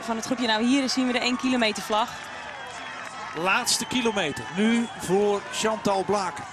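An animated, excited tone comes at a moderate pace with ordinary pitch variation. Background noise is noticeable. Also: man, high pitch for a man. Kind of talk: live race commentary on women's cycling world championship. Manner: animated, excited, rising enthusiasm as the win nears.

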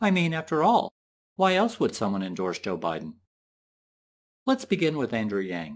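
Doing a raspy put-on character voice, a man speaks at a fairly high pitch and moderate pace with long, frequent pauses, captured on a very clean recording with a silent background. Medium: cartoon.

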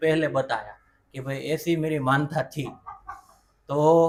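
A man's ordinary speaking voice, fairly high in pitch, with fairly even intonation. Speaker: vlogger interviewing his grandmother. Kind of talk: casual family vlog chat.

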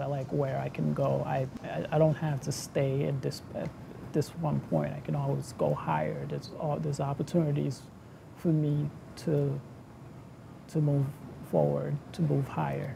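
At a moderate pace, a man speaks with long, frequent pauses against noticeable background noise. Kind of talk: interview answer. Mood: proud, reflective. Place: factory.

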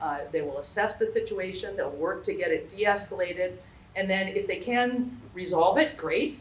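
The speaker talks at a fairly quick pace with lively intonation. Room echo is audible. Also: woman. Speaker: local elected official. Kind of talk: town hall presentation. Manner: fast; hesitant, many fillers.

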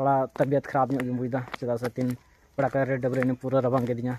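Speaking at a fairly quick pace, a man uses a monotone, flat intonation with a medium pitch, a slightly mellow tone and a slightly husky edge.

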